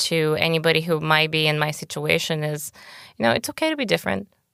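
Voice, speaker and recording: On a very clean recording with a silent background, a woman with a Bulgarian accent has a fairly low pitch and a bright, sharp tone. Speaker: podcast guest. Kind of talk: interview.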